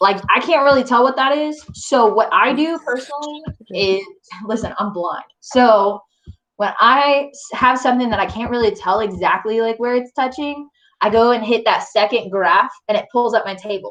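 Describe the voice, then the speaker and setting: Her voice sits high and her tone is animated. This woman keeps a moderate pace with lively intonation. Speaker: math teacher. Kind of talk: live online review lesson. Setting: online class with screen share. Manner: casual, chatty; loud, animated.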